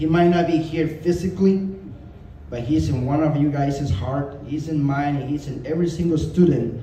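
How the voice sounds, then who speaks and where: Audible room echo surrounds a man who talks at a moderate pace in a fairly high pitch. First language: not English. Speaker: martial arts student. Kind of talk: memorial testimonial speech. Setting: gathering with audience.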